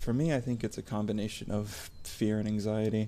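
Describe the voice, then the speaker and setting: A man speaks softly. His pitch is fairly low. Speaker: ASMR content creator. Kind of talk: personal vlog monologue. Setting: home recording at night. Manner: soft-spoken; halting.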